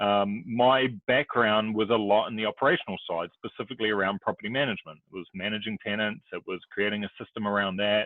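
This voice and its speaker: With a New Zealand accent, a man talks at a very fast pace and a fairly low pitch, with fairly even intonation and hardly any pauses. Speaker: real estate investor and broker. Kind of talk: podcast interview.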